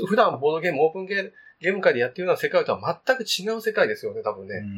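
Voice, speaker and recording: A man speaks at a very fast pace. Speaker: board game podcast host. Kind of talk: casual chat.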